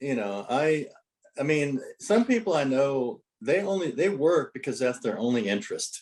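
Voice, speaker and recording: Very wide pitch swings mark a man's voice that sits fairly high. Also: moderate pace. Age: 60s. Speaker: note investor. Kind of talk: casual interview.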